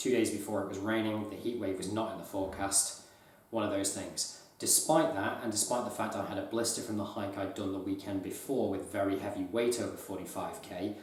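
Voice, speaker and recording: A man speaks fairly quickly in a fairly low pitch with fairly even intonation. Noticeable background noise and audible room echo fill the recording. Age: 30s. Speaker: outdoor gear youtuber. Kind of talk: gear review. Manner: monotone.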